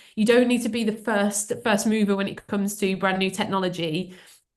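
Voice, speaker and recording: Fairly quick speech with a Birmingham accent. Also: woman. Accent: Birmingham (Brummie). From England, Birmingham. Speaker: AI trainer and speaker. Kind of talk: webinar presentation. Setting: video call webinar. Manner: hesitant, many fillers.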